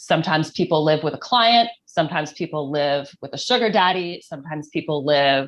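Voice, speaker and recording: Here is a woman with a plain, everyday voice and lively intonation. She speaks at a moderate pace against a quiet background. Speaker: sex worker activist. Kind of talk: panel discussion.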